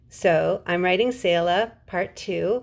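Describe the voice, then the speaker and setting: The recording is very clean, with a silent background. The speaker has a slight Californian accent. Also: woman. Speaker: writer and English teacher. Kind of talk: casual vlog showing her books.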